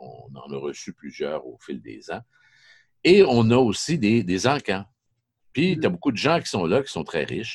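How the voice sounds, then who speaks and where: A man's fairly low voice with vocal fry, very wide pitch swings, big swings in loudness, a fairly slow pace and long, frequent pauses. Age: 50s. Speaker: sports journalist. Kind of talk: podcast interview.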